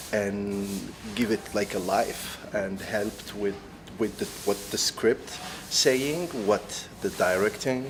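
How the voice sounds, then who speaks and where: A man with an Algerian accent, fairly low-pitched with ordinary pitch variation, speaking very slowly with long, frequent pauses over noticeable background noise. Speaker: actor. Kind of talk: interview. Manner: halting, many fillers and restarts.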